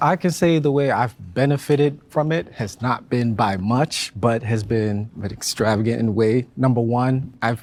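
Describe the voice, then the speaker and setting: A man speaks with a West African accent, his pitch medium and his intonation moving in an ordinary way. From Ghana. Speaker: panel discussion participant. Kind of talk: panel discussion.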